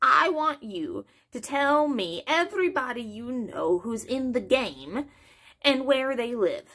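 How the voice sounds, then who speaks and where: A put-on, high-pitched female-sounding character voice at a fairly slow pace. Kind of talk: dramatic reading of a novel, character voices. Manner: nervous, eager to please.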